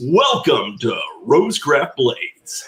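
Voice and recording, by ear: A man's put-on character voice at a fairly slow pace.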